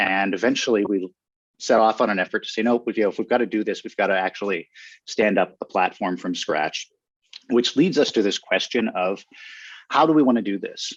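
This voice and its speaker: With a Western Pennsylvania accent, a man speaks at a fairly low pitch, recorded with a dry, close sound, no echo and a quiet background. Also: ordinary pitch variation. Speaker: education technology researcher. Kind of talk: panel discussion. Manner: hesitant, many fillers.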